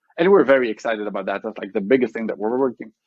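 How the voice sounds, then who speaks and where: Speaking with an Israeli accent, a man uses a medium pitch and ordinary pitch variation. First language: Hebrew. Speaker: tech company CEO. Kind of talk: podcast interview. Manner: fast, halting with many restarts.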